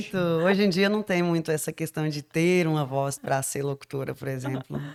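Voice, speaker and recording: A woman speaks with a very deep, low pitch. The sound is dry and close with no echo, though background noise is noticeable. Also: ordinary pitch variation, moderate pace. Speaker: radio announcer. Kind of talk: casual chat.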